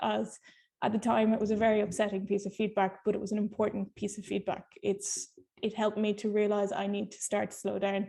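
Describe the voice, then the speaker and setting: A woman with an Irish accent, fairly high in pitch, her dark, mellow tone touched with vocal fry. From Ireland. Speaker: nurse researcher. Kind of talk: webinar talk. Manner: fast.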